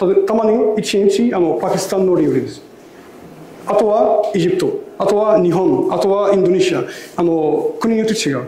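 A man's high-pitched voice with lively intonation at a moderate pace, with audible room echo. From Egypt. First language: Arabic (speaking Japanese). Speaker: imam. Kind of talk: lecture. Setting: mosque with audience. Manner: simple non-native phrasing. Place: hall. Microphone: lapel.

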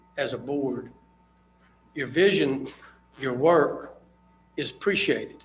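This man talks in an American accent. Noticeable background noise is present. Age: 60s. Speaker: public commenter. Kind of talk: public comment at town meeting. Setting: town board meeting. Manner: halting, many fillers.

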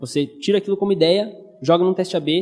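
A man's high-pitched voice at a very fast pace, with fairly even intonation. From southern Brazil (Passo Fundo, Rio Grande do Sul). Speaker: conference speaker, web developer and entrepreneur. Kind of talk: conference talk. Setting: stage with audience. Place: hall. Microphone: handheld.

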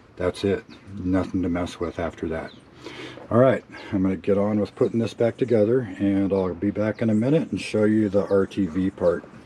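Over noticeable background noise, a man speaks in a relaxed tone at a moderate pace with a fairly low pitch. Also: ordinary pitch variation. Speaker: car hobbyist. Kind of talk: casual DIY tutorial talk. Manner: relaxed, hesitant with fillers.

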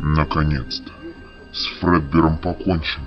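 A put-on character voice speaks at a moderate pace over clear music in the background. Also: man. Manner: relieved, resolute.

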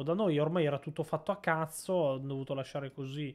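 This man has an ordinary speaking voice with a fairly high pitch. He talks at a fairly quick pace with fairly even intonation. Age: 20s. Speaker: streamer. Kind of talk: casual live stream chat.

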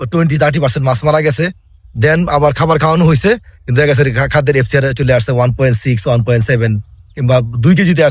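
A somewhat breathy voice with ordinary pitch variation and very even loudness. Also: man, fairly high pitch for a man. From Bangladesh. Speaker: fish feed company field technician. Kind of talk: interview.

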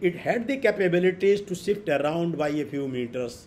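Speaking with an Indian accent and lively intonation, a man keeps a moderate pace against light background noise. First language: Hindi. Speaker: professor giving lecture; invited professor lecturing. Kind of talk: online lecture. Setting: video call. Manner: hesitant, fillers, repeats words. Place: home room.

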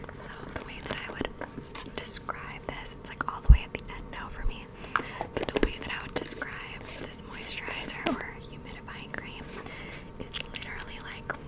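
Whispering at a moderate pace, a woman lets her loudness swing widely. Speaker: ASMR creator. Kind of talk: ASMR skincare ramble to camera. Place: home room. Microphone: studio mic.

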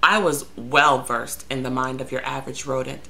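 At a moderate pace, a woman is talking. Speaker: vlogger telling a story. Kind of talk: casual vlog chat. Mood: sarcastic, exasperated. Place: home room. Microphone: webcam.

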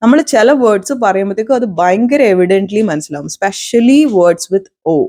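A woman at medium pitch with a dark, mellow tone, on a very clean recording with a silent background. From Kerala, Ernakulam district. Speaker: YouTuber. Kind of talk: casual vlog monologue.

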